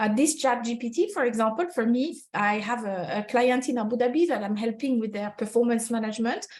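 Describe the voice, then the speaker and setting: A woman's fairly high voice in a French accent at a fairly quick pace. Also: ordinary pitch variation. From France. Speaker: HR consultant. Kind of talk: webinar presentation. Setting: online webinar. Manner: halting, many fillers.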